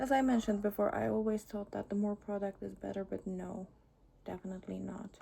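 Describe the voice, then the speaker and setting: A woman with a non-native accent at a moderate pace. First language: not English. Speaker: beauty vlogger. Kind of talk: makeup tutorial. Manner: halting, with pauses.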